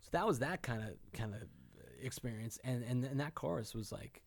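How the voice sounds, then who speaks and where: With an American accent and some vocal fry, a man speaks at a moderate pace and a medium pitch. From Boston, Massachusetts. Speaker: rock musician. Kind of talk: casual interview. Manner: halting; deadpan.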